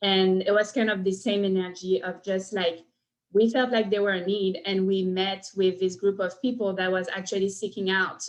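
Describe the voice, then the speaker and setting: With a French accent, a woman speaks at a medium pitch and a moderate pace, her intonation fairly even. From France. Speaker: cohousing consultant. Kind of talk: presentation.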